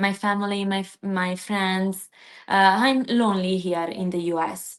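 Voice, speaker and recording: Speaking with an Italian accent, a woman talks at a fairly slow pace with fairly even intonation. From southern Italy (Basilicata). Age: 20s. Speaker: PhD student. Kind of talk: interview. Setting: live stream video call. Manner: halting.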